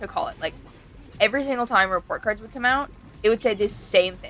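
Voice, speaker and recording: Lively intonation marks this voice. It belongs to a woman. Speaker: streamer. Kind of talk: casual chat. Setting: live stream. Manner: loud; talkative, fast.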